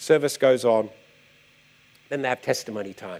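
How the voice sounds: A man talks at a medium pitch with a slightly mellow tone. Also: ordinary pitch variation, moderate pace.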